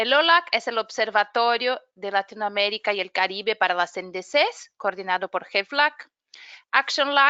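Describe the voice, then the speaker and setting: This woman speaks with a Brazilian accent at a fairly high pitch. Her pace is moderate, with ordinary pitch variation. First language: Portuguese (speaking Spanish). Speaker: webinar moderator, climate program manager. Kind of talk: webinar introduction. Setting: online webinar.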